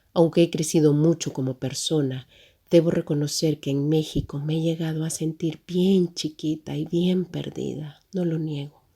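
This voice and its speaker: With a Salvadoran accent, a woman speaks at a fairly slow pace in a very deep, low voice with a dark, mellow tone and flat, monotone intonation, in a very clean recording with a silent background. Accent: Salvadoran accent, noticeable in Mexico. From El Salvador. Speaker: humanitarian agency worker, migrant. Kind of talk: personal testimony.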